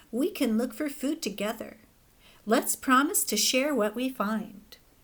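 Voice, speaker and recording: A woman puts on a character voice with a high pitch. She keeps a moderate pace. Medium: read story. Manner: self-satisfied.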